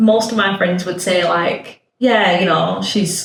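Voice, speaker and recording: With a northern English accent, the speaker talks at a fairly slow pace. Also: woman. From northern England. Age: 30s. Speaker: podcast guest, nail technician. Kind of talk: casual chat. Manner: loud and blunt.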